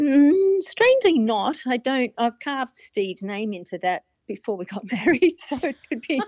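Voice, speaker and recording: A woman speaks at a moderate pace in a high voice, her pitch swinging very widely. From Australia. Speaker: guitarist and singer-songwriter. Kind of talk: casual interview.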